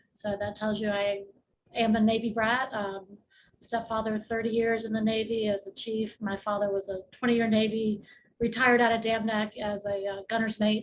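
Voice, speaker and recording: Somewhat breathy, a woman talks with an American accent at a fairly high pitch in a monotone, flat intonation. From Tidewater area, Virginia. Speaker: real estate attorney. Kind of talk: panel discussion.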